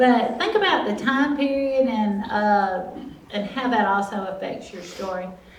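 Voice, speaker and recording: A woman with an American accent speaks at a fairly slow pace with lively intonation. Noticeable background noise and audible room echo are present. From US South, Alabama (Mobile County). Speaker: author and storyteller. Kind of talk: talk to a group.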